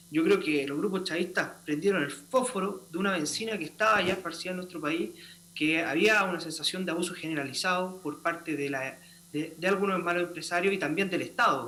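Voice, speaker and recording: Amid audible room echo, a man talks at a fairly quick pace in a high pitch with ordinary pitch variation. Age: young. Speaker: constitutional convention delegate. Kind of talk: political debate.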